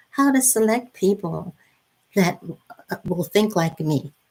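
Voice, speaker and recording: A woman speaks at a fairly slow pace. Her voice is somewhat breathy, with lively intonation. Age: 70s. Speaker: retired teacher, online business promoter. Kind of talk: live stream sales pitch. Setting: live video stream. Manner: halting, repetitive.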